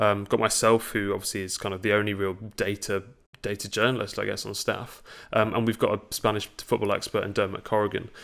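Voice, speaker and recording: A man with an ordinary speaking voice, fairly low in pitch, at a fairly quick pace against a quiet background. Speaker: guest. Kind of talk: interview answer. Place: home room.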